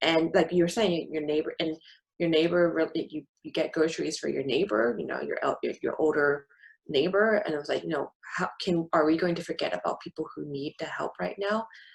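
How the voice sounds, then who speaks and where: A woman talks at a fairly quick pace in a fairly low voice. Her pitch varies in an ordinary way. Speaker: podcast co-host. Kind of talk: casual chat.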